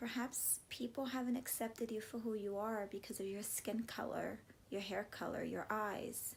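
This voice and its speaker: A woman talks at a fairly high pitch in a warm, somewhat breathy tone. Her intonation stays fairly even. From US, Cuban-American family. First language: Spanish. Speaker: vlogger and classroom teacher. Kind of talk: motivational vlog talk. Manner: warm, conversational.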